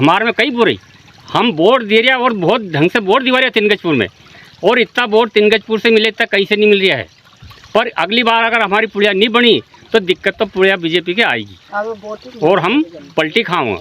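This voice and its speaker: Noticeable background noise is present throughout. The man's voice is high in pitch, with ordinary pitch variation. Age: 60s. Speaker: villager. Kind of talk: street interview.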